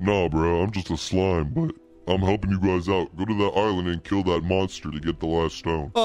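Clear music plays behind a man using a put-on character voice. He speaks at a moderate pace with a very deep, low pitch. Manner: casual, chill, slangy.

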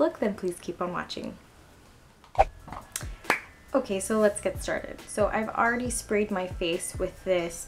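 A woman speaks with long, frequent pauses. Noticeable background noise sits behind her. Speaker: beauty vlogger. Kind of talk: makeup tutorial talk. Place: home room. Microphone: camera far.

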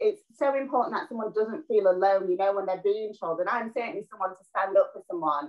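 In a Yorkshire accent, a woman speaks at a fairly quick pace with hardly any pauses and lively intonation. Her loudness swings widely against a quiet background. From northern England, South Yorkshire (Doncaster); northern England. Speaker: actress and TV presenter; actress, TV presenter. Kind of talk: casual interview. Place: home room. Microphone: video call.

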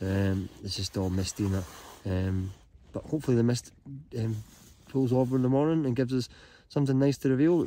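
With a dark, mellow tone and fairly even intonation, a man speaks at a fairly quick pace broken by long, frequent pauses. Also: medium pitch for a man.

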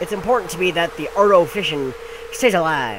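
Lively intonation shapes this clip. Someone is reading aloud in a natural voice.

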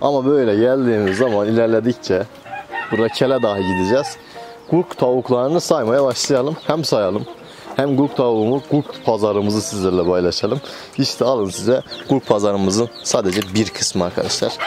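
Clear music plays in the background as a man speaks with ordinary pitch variation. His loudness stays very even, and the sound is dry with no echo. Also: moderate pace. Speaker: poultry keeper vlogger. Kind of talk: casual vlog chat. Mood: cheerful and warm. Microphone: phone near.

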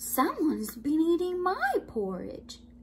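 A put-on character voice comes through at a high pitch and fairly slow pace. Clear background noise is present. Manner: storytelling.

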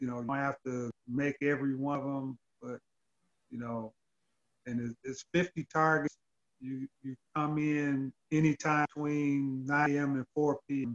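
In a quiet setting, a man with an American accent speaks fairly slowly in a flat monotone, leaving long, frequent pauses. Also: fairly high pitch for a man. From Detroit, Michigan. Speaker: gun club vice president, retired police officer; podcast guest. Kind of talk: interview. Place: home room. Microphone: video call.

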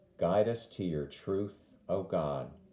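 In a room with audible echo, a man with a fairly low, dark, mellow voice speaks at a very slow pace with lively intonation. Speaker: deacon leading prayer. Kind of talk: led morning prayer, with fervent intercessory prayer near 9:30. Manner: solemn, earnest, measured; devout, pleading intensity in petitions. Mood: calm, reverent. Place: home room. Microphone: phone near.

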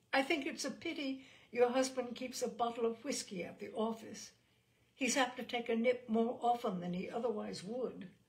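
This female-sounding, put-on character voice is hoarse and high-pitched. It moves at a moderate pace.

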